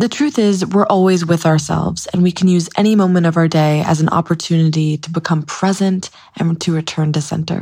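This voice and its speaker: At a fairly quick pace, a woman speaks with a dark, mellow tone, somewhat breathy and with fairly even intonation. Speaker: meditation guide. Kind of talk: guided meditation.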